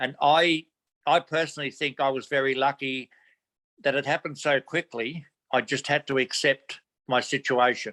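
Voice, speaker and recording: In an Australian accent, a man speaks with monotone, flat intonation. The sound is dry and close with no echo, the recording very clean with a silent background. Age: 70s. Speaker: community volunteer. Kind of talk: interview answer.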